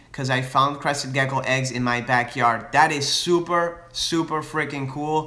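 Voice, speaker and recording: There is audible room echo around a man speaking at a fairly high pitch. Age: 20s. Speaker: reptile breeder and YouTuber. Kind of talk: live Q&A with viewers. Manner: casual, hesitant with fillers and restarts.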